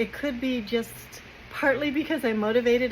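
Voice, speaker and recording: Noticeable background noise accompanies a woman with an American accent and a high pitch. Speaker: vlogger. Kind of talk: casual chat.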